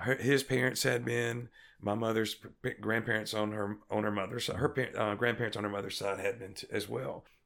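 In a Mississippi accent, a man talks at a fairly quick pace with vocal fry, a medium pitch and fairly even intonation. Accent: US Southern (Mississippi). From Mississippi Delta. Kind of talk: interview testimony.

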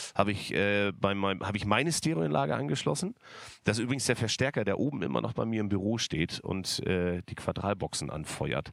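On a very clean recording with a silent background, a man has an unremarkable speaking voice at fairly low pitch. His intonation is lively and his pace fairly quick. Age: 40s. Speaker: livestream host, event technology business owner. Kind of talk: casual livestream chat. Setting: studio.

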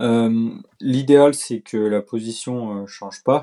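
A man with a dark, mellow tone speaks at a medium pitch and with fairly even intonation on a very clean recording with a silent background. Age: 20s. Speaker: professional cyclist. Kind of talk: casual interview.

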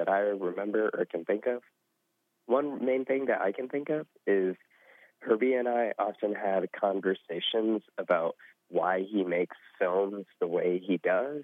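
A man with an American accent, fairly slow pace, ordinary pitch variation and an unremarkable speaking voice. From US Southwest. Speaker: former scholarship intern. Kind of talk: interview. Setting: phone call.

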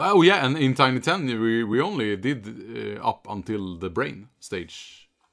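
With a Swedish accent, a man speaks at a fairly slow pace in a medium pitch, his voice making very wide pitch swings. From Sweden. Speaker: game streamer. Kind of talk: casual chat.

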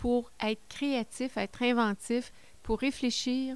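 In a very clean recording with a silent background, a woman talks in a fairly high pitch. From Quebec, Côte-Nord. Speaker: regional politician. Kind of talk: interview.

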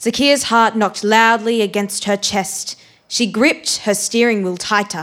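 This is an unforced reading voice. It is used throughout the clip.

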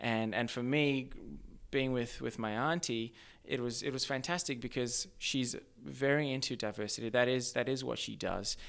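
A man with an Australian accent talks at a moderate pace and medium pitch with fairly even intonation on a very clean recording with a silent background. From Zimbabwe. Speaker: social entrepreneur. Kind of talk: casual interview.

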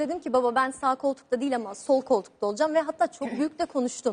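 A woman's high voice with ordinary pitch variation at a fairly quick pace. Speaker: rally driver. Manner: calm.

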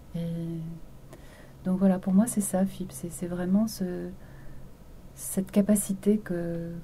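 A calm, dark, mellow tone comes across somewhat breathy, with monotone, flat intonation. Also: woman. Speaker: radio presenter. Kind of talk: interview. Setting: studio.

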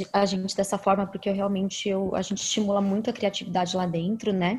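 A woman talks at a fairly quick pace in a medium pitch. She has an unremarkable speaking voice. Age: 30s. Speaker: media platform founder. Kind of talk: interview.

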